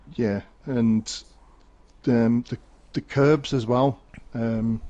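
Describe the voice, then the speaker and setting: The voice has a dark, mellow tone and a Birmingham accent. It moves at a very slow pace with fairly even intonation. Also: man, medium pitch for a man. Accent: Brummie. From Birmingham, England. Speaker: esports race co-commentator. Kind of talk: live commentary.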